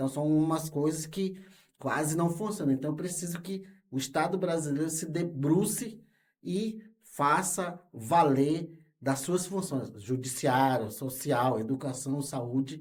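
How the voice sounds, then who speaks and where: Very slow speech from a man with a fairly high pitch and ordinary pitch variation. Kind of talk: interview. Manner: halting, with many fillers.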